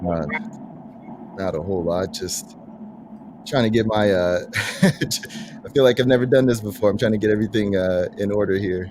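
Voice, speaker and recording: Over noticeable background noise, a man with a fairly low pitch speaks with long, frequent pauses. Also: ordinary pitch variation, moderate pace. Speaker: sports podcast host. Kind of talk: casual chat. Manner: halting, stuttering.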